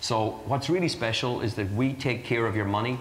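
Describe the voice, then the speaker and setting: In an Irish accent, a man talks at a moderate pace, with light background noise and audible room echo. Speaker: charity fundraiser for water wells. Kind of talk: interview answer. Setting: live broadcast before an audience. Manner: earnest, persuasive pitch. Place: studio. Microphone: lapel.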